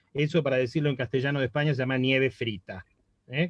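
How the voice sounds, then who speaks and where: A man with an Argentine accent speaks in a fairly high pitch. The sound is dry and close with no echo, over a quiet background. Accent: Argentine Spanish (Rioplatense). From Argentina. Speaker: university professor. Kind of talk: academic panel discussion comment. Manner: conversational, with hesitations.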